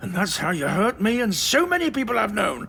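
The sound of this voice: A man puts on a character voice, high-pitched with a bright, sharp tone. He talks at a fairly quick pace with vocal fry and big pitch swings.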